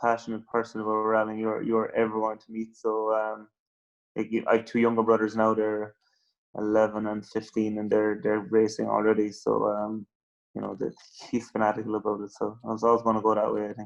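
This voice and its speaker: With a fairly low pitch, a man talks fairly quickly in a Cork accent. His intonation is monotone and flat against a quiet background. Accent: Cork Irish. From Ireland, West Cork. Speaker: rally driver. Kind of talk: interview. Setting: phone call. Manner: halting.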